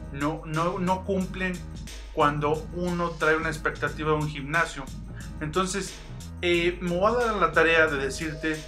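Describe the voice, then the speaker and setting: Over clear music in the background, a man talks at a fairly slow pace with fairly even intonation. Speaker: fitness youtuber. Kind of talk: casual vlog chat. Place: home room. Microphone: phone near.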